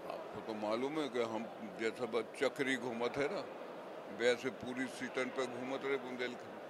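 Loud background noise sits behind a man speaking at a fairly slow pace. The sound is dry, with no echo. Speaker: politician. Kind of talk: interview answer. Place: hall. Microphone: handheld.

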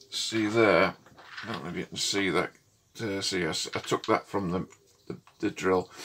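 A man speaks at a fairly slow pace. His voice is fairly low in pitch. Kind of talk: tutorial. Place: workshop.

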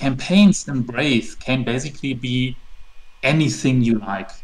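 A man with a German accent talks at a very slow pace and medium pitch, using ordinary pitch variation. Noticeable background noise sits behind him. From Germany. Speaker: tabletop RPG setting creator. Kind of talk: interview.

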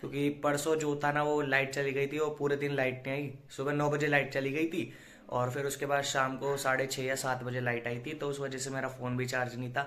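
The man's intonation stays monotone and flat while he talks at a moderate pace. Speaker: vlogger. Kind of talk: casual vlog chat. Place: home room. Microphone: phone near.

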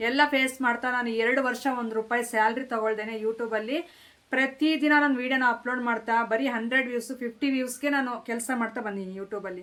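A woman with a high pitch speaks in a bright, sharp tone with fairly even intonation. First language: Telugu (speaking Kannada). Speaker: lifestyle vlogger. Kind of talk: vlog monologue.

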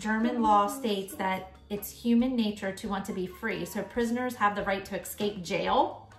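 A woman at a moderate pace with ordinary pitch variation, audible room echo, and faint music in the background. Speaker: parent vlogger. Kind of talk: casual vlog chat. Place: home room. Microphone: phone near.

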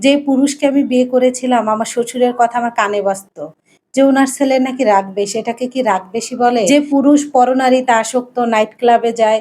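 A woman's high-pitched voice with a dark, mellow tone and fairly even intonation. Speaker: vlogger. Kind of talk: personal life story narration.

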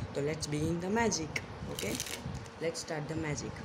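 There is noticeable background noise. Over it, a man speaks at a fairly slow pace. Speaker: magic tutorial host. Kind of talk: casual card trick tutorial to camera. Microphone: phone near.

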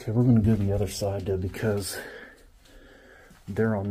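Dark and mellow in tone, a man speaks in a flat monotone. His voice is somewhat breathy. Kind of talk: casual vlog chat. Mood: hushed, cautious. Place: hall. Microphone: phone near.

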